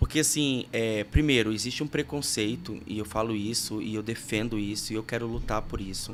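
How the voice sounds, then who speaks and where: With an unremarkable speaking voice, a man talks at a moderate pace and fairly low pitch, with ordinary pitch variation and hardly any pauses. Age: 30s. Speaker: podcast host and worship music producer. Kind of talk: casual interview chat.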